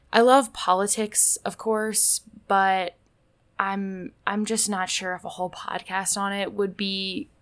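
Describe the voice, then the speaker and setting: An unremarkable speaking voice from a woman with an American accent, medium pitch and ordinary pitch variation, on a very clean recording with a silent background. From Indianapolis, US Midwest. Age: 20s. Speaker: podcast host and college student. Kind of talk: casual solo podcast monologue.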